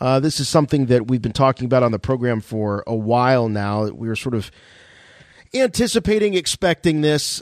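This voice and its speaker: Speaking at a moderate pace, a man has a normal speaking voice and a medium pitch. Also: dry, close sound with no echo. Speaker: podcast host. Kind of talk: casual chat.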